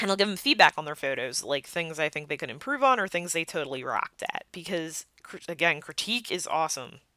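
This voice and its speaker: In a very clean recording with a silent background and a dry, close sound with no echo, a woman with a fairly low pitch speaks in an animated tone, her delivery bright and sharp with lively intonation. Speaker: podcast host, cosplayer and photographer. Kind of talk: solo podcast monologue.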